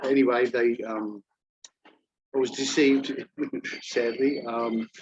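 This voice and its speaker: A man talks with an Australian accent. His fairly slow delivery has monotone, flat intonation. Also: medium pitch for a man. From Australia, Melbourne. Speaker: job-seeking teacher. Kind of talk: job fair Q&A, self-introduction. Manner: halting, many fillers.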